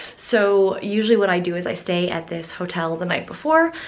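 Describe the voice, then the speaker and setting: A quiet woman at medium pitch with ordinary pitch variation, in a room with audible echo and noticeable background noise. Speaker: travel vlogger. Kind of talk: vlog. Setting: hotel room.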